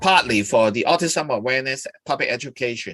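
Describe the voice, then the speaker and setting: Spoken with a Hong Kong accent, the voice has a bright, sharp tone and a dry, close sound with no echo. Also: man. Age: 60s. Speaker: charity chairman hosting an interview. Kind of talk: live-streamed interview. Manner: halting, many fillers.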